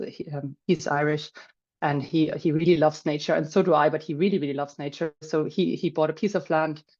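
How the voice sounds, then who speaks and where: A woman's very deep, low voice at a fairly quick pace, with fairly even intonation and a quiet background. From Germany. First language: German. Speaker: finance professional and landowner. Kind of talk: webinar talk. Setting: video call.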